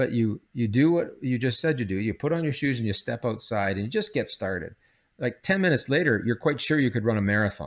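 At a very fast pace, a man with a Canadian accent talks at a medium pitch with lively intonation in a very clean recording with a silent background. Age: 60s. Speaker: psychology professor. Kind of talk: interview.

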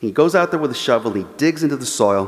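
A man speaks with an American accent. Noticeable background noise can be heard. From Los Angeles, US. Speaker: journalist and author. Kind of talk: lecture; audience Q&A. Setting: church forum with live audience.

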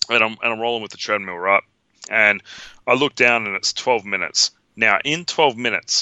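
In an Australian accent, a man speaks at a moderate pace with ordinary pitch variation. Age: 30s. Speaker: podcast co-host, film fan. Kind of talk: casual chat. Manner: animated.

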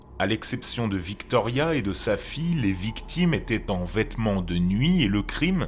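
Music plays behind a man speaking at a fairly slow pace. His pitch is fairly low and his intonation is lively. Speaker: podcast host, horror storyteller. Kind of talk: true-crime narration, scripted storytelling read in a hushed late-night horror tone. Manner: slow, measured, grave.

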